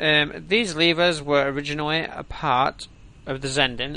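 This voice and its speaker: Ordinary pitch variation marks a man's plain, everyday voice, pitched fairly high. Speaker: gaming streamer. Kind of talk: reading aloud. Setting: live stream.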